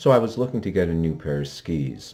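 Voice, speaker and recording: A man's very deep, low voice with a dark, mellow tone at a moderate pace. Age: 60s. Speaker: ski reviewer. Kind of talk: product review. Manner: halting, many fillers.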